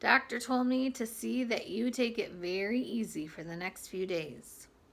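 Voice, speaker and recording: A woman puts on a raspy character voice with a cheerful tone. Her pitch sits fairly high, and she keeps a moderate pace. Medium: read story. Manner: cheerful, fussing.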